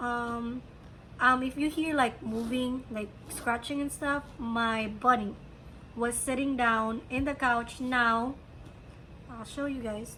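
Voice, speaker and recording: A woman speaks with a bright, sharp tone at a high pitch, her intonation monotone and flat. Her pace is very slow, broken by long, frequent pauses. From Philippines. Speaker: crochet podcaster and hat seller. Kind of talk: casual chat. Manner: hesitant, many fillers.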